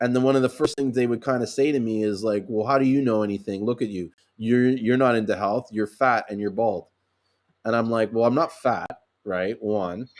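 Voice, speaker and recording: A man talks fairly quickly, his medium pitch held in fairly even intonation. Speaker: sea moss seller. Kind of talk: live stream chat. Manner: loud.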